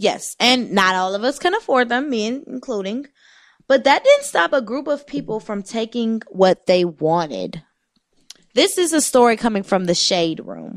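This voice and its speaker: A woman with a fairly high voice speaks at a moderate pace, her pitch swinging very widely. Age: 20s. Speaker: radio show co-host. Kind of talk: casual chat.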